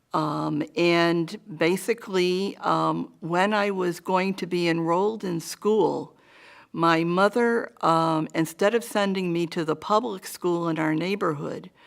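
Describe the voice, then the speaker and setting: In a very clean recording with a silent background, a woman with a New England accent talks at a very slow pace, her fairly low voice moving in fairly even intonation. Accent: New England American. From Hartford, Connecticut. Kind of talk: oral history interview answer.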